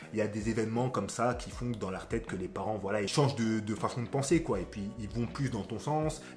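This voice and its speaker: With music in the background, a man talks at a fairly quick pace with hardly any pauses and ordinary pitch variation. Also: medium pitch for a man. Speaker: relationship coach, youtuber. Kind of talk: advice monologue to camera. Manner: casual, conversational.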